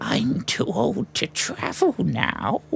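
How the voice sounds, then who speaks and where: A man speaks in a put-on character voice. Clear background noise runs behind him. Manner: weary, reflective.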